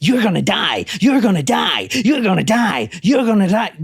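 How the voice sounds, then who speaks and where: A put-on, growling character voice that sounds female, at a medium pitch for a woman, with light background noise. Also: moderate pace. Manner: growling, menacing, repetitive.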